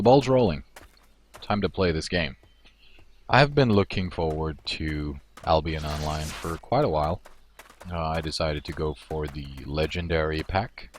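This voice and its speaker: Long, frequent pauses mark a man's speech at a moderate pace. His pitch is very deep and low, with ordinary variation. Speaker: gaming streamer. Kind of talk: gameplay livestream commentary. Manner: casual with many fillers.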